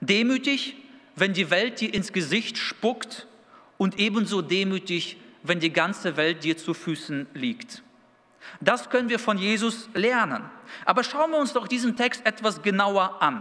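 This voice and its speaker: A man with a non-native accent speaks in a raised, projected voice at a fairly slow pace. His pitch is high, his intonation lively and his tone bright and sharp. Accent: noticeable foreign. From Kazakhstan, then Dülmen in Münsterland from age 11. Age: 30s. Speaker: youth pastor. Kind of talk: sermon.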